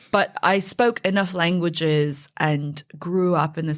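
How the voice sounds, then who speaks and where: In a very clean recording with a silent background, a woman speaks at a very deep, low pitch with fairly even intonation. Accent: West Coast American. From US, Northern California (Silicon Valley). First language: Mandarin. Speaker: fintech founder and CEO. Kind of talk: podcast interview.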